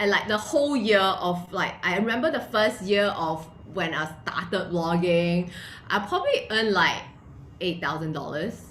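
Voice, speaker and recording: Noticeable background noise and audible room echo surround the recording. A woman speaks in an animated tone. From Malaysia. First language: not English. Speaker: entrepreneur and blogger. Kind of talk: interview.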